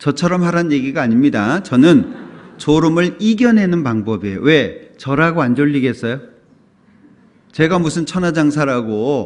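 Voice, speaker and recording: A man talks at a moderate pace. His fairly high voice has lively intonation. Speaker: pastor. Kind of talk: sermon.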